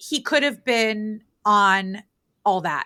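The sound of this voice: A woman speaks at a slow pace in a bright, sharp tone. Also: medium pitch for a woman, lively intonation.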